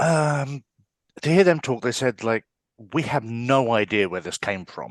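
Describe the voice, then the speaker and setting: At a fairly slow pace, the speaker uses lively intonation in an English accent, with a dry, close sound with no echo and a quiet background. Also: man, medium pitch for a man. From England (London, Wales, Essex). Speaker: artist and designer. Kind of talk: casual interview chat.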